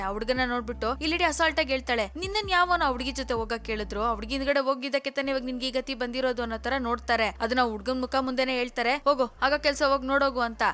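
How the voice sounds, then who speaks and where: Over noticeable background noise, a woman speaks in a high pitch with ordinary pitch variation. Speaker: movie explainer. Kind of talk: movie recap narration. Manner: casual, conversational.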